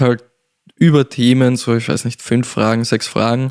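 Intonation stays fairly even, and the sound is dry and close with no echo. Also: man. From Austria, Salzburg. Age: 20s. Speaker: singer-songwriter. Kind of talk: casual chat. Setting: studio.

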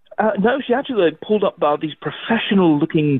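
The intonation here is lively. A man delivers it at a fairly quick pace. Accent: English. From England. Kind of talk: casual chat. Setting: phone call.

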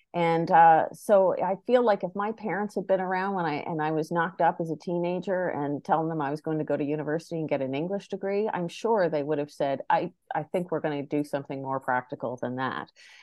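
This woman has a fairly low pitch and talks with a Maritime Canadian accent. She speaks at a fairly quick pace with ordinary pitch variation and hardly any pauses. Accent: Canadian (Maritimes). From Prince Edward Island, Canada (Charlottetown). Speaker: filmmaker and actor. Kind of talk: interview conversation.

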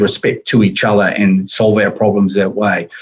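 A man with a New Zealand accent speaks in a monotone, flat intonation. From New Zealand, Wellington. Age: 60s. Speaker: logistics executive. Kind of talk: interview conversation.

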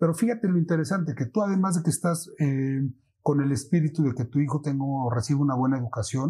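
A man's fairly high, somewhat breathy voice varies in pitch in an ordinary way. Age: 40s. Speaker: financial advisor. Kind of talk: casual interview.

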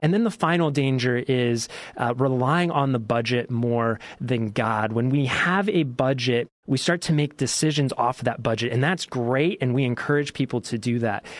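Speaking with an American accent, a man with a normal speaking voice keeps a moderate pace and very even loudness, his medium pitch varying in an ordinary way. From US Southwest. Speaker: ministry executive director. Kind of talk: radio interview. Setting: studio.

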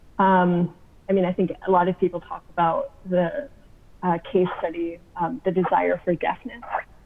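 A woman talks at medium pitch and a moderate pace, a normal speaking voice. Her pitch varies in an ordinary way. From US Southwest, Arizona. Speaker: graduate student. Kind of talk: casual interview. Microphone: audio issues, sometimes hard to make out.

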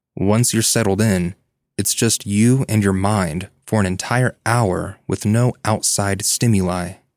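In a very clean recording with a silent background and a dry, close sound with no echo, a man with a plain, everyday voice speaks at a fairly low pitch, fairly slow pace and fairly even intonation. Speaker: featured guest reading stories. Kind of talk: reading aloud first-person stories.

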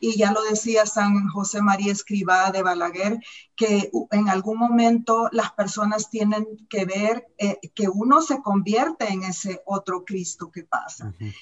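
Fairly slow speech from a woman with a normal speaking voice, medium pitch and ordinary pitch variation. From Central America, war-torn country. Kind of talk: panel discussion. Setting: video call.

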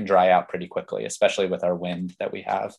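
Against a quiet background, a man speaks. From Pennsylvania. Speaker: farmer and educator. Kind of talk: interview conversation.

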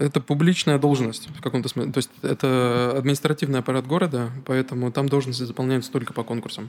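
Speaking at a very fast pace with hardly any pauses, a man keeps a medium pitch and fairly even intonation. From Narva, Estonia (Russian-speaking). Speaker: architect. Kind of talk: casual interview.

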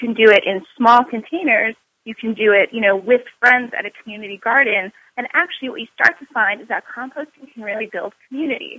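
Speaking with an American accent, a woman with a fairly high voice moves at a fairly quick pace, her pitch varying in an ordinary way while her loudness swings widely. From New York. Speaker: author and master composter. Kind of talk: interview. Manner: animated.

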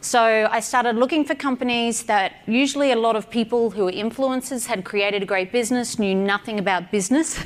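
A woman with an Australian accent talks at a fairly quick pace, her loudness very even and her pitch varying in an ordinary way. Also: hardly any pauses. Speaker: entrepreneur and business mentor. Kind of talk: speech to event audience.

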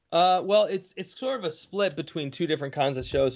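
A man talks at a fairly quick pace with ordinary pitch variation. He has an unremarkable speaking voice. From Kalamazoo, Michigan. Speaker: musician and former lawyer. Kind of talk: casual interview.

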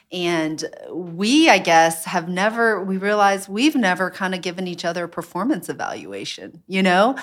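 A woman with an American accent speaks in a normal speaking voice at a medium pitch and a moderate pace with ordinary pitch variation and hardly any pauses, in a very clean recording with a silent background. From US South. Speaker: restaurant owner. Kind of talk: casual interview chat.

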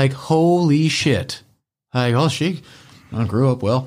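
A man with an American accent, a fairly high pitch, lively intonation and a somewhat breathy sound, on a very clean recording with a silent background. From northern US. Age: 30s. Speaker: podcast guest. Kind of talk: casual chat.

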